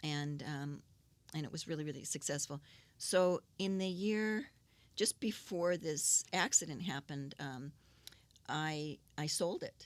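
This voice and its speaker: A woman speaks at a fairly slow pace with an Upper Midwest accent. Her pitch is very deep and low, with ordinary variation. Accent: Upper Midwest American. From Saint Paul, Minnesota. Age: 60s. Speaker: businesswoman. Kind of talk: interview answer.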